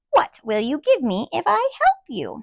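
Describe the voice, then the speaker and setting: This woman uses a put-on character voice, high-pitched and at a moderate pace. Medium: read story.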